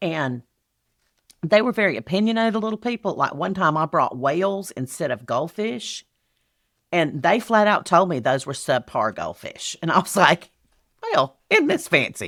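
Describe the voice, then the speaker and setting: Pitch swings very widely as this speaker talks at a moderate pace with a Southern US accent, on a very clean recording with a silent background. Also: woman. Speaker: speaker and event business expert. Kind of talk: podcast guest interview. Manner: witty, sarcastic.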